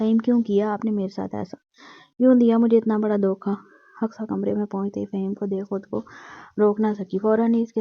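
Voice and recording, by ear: In a natural voice, a passage is read aloud with intonation that stays fairly even.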